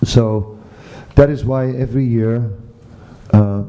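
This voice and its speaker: A man's medium-pitched voice at a very slow pace, amid noticeable background noise. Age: 60s. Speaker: spiritual teacher. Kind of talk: lecture. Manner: halting.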